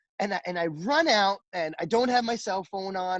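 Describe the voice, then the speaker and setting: Loud, a man's voice comes through dry and close with no echo. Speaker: restaurant chef.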